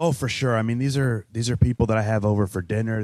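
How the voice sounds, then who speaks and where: A man with a Chicago accent talks at a fairly quick pace in a fairly low pitch, with a dark, mellow tone. His pitch varies in an ordinary way, and the sound is dry and close with no echo. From US Midwest, Chicago. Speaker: musician and radio host. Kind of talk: casual interview chat. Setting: coffee shop.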